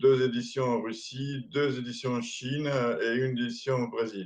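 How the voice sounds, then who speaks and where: A man is speaking. His pitch is medium. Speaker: board game distributor, company founder. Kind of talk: interview. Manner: hesitant, many fillers.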